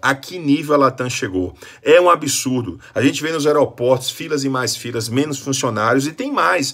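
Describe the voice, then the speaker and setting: Against a quiet background, a man with a fairly high voice speaks at a moderate pace in an animated tone. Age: 40s. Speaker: motivational speaker. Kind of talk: complaint vlog. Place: home room. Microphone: phone near.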